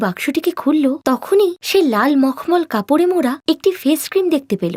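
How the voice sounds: Lively intonation from a woman with a high, slightly mellow voice at a fairly quick pace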